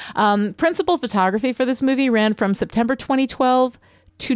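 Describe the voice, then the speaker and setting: With lively intonation and very even loudness, a woman speaks at a moderate pace in a dry, close sound with no echo. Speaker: podcast co-host, story expert. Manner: sounds sarcastic even when sincere.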